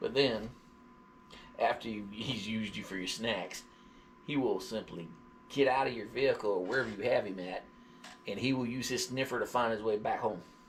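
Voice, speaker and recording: With a Southern US accent, a man speaks at a medium pitch with ordinary pitch variation. He leaves long, frequent pauses. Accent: southern drawl. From US South, Georgia. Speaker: dog vlogger / live streamer. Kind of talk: casual livestream chat. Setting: live stream.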